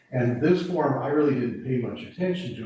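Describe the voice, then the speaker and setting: At a moderate pace, a man speaks with ordinary pitch variation, and some room echo is audible. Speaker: emergency preparedness volunteer. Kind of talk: committee meeting briefing. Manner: loud.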